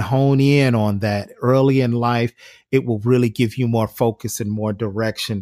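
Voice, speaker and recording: A man's medium-pitched voice with fairly even intonation and a moderate pace, dry and close with no echo, on a very clean recording over a silent background. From US Midwest, Cleveland, Ohio. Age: 40s. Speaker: filmmaker and entrepreneur. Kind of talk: interview. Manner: halting, many fillers and repeated words.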